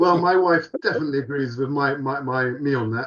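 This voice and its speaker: This man talks with a British accent at a fairly quick pace. His pitch varies in an ordinary way. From UK. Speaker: podcast co-host. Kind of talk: casual chat. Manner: animated.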